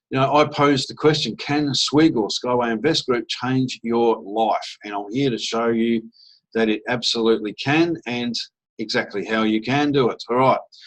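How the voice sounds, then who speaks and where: A man speaks at a moderate pace with medium pitch and fairly even intonation. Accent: Australian. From Australia (Adelaide). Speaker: network marketer / investment promoter. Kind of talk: sales pitch presentation. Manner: casual, filler-heavy.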